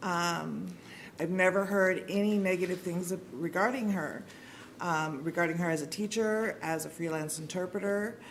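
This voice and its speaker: A woman at a moderate pace and fairly low pitch, fairly even in intonation, with audible room echo. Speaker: sign language interpreter voicing a deaf commenter. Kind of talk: interpreted public comment. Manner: hesitant, many fillers.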